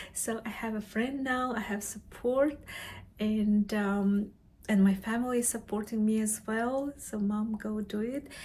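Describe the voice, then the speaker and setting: With a non-native accent, a woman with a fairly high pitch speaks at a fairly slow pace with fairly even intonation. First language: not English; English is third language. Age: middle-aged. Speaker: vlogger, mature graduate student. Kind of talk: personal vlog to camera. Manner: halting, with many fillers and self-corrections.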